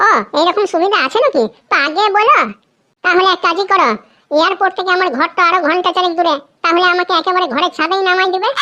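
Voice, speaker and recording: A woman uses a cartoonish character voice with an extremely high pitch. She talks at a fairly quick pace with very even loudness. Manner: loud, argumentative.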